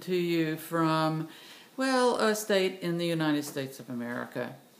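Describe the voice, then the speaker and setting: Audible room echo surrounds a woman speaking at a moderate pace in a fairly low pitch. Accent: Southern US. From US South, Tennessee. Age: 60s. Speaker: vlogger, retired doctor. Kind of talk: personal video monologue. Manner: halting, many fillers.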